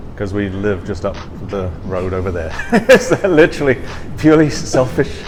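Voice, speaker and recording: A man with a fairly low pitch speaks at a moderate pace, his loudness swinging widely and his pitch ranging very broadly, over noticeable background noise. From outside the US. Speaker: brewery founder. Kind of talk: casual interview. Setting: brewery taproom. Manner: halting.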